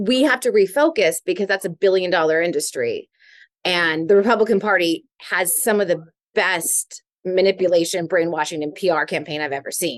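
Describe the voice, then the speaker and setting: A woman speaks in an ordinary speaking voice at medium pitch. Her pace is fairly quick. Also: ordinary pitch variation. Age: 40s. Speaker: reality TV personality. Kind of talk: casual chat. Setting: tattoo shop.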